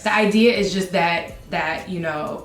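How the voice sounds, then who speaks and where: A woman speaks over noticeable background noise. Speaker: TV news reporter and anchor. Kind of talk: interview answer. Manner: casual, conversational.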